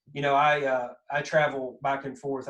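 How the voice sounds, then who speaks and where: A man of medium pitch talks with a strong Kentucky accent. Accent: thick Southern Kentucky. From US South, Kentucky. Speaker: podcast host. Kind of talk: casual chat.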